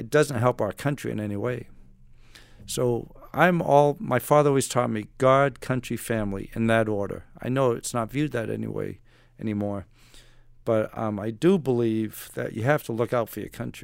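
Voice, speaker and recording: A man's normal speaking voice at a medium pitch and moderate pace. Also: ordinary pitch variation. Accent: American. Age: 60s. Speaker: retired navy special forces operator and author. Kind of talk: casual interview.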